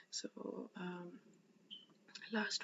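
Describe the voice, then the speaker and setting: A woman speaks in a soft-spoken manner. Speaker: religious study vlogger. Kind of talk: casual vlog storytelling. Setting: indoors at someone's house. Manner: halting, many fillers.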